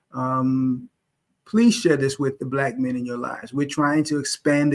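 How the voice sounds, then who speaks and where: On a very clean recording with a silent background, an unremarkable speaking voice holds fairly even intonation. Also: man. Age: middle-aged. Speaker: YouTube host. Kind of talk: live stream discussion.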